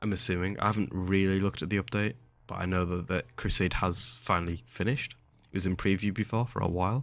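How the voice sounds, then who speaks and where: With an English accent, a man with a very deep, low pitch speaks at a very fast pace and ordinary pitch variation on a very clean recording with a silent background. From England. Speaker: gaming youtuber. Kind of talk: gameplay commentary. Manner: casual, rambling with filler words.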